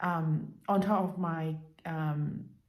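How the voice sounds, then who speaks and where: A woman with a fairly low pitch sounds somewhat breathy, with audible room echo in the recording. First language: Cantonese and Mandarin. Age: 50s. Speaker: language learning vlogger. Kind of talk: casual vlog monologue. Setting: at home. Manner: halting, many fillers.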